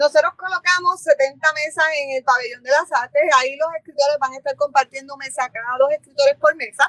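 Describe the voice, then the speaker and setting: A woman with a high pitch and a bright, sharp tone talks at a fairly quick pace with fairly even intonation, hardly any pauses and a dry, close sound with no echo. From Puerto Rico, Barranquitas. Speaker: bookshop owner and literary fair organizer. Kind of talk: interview.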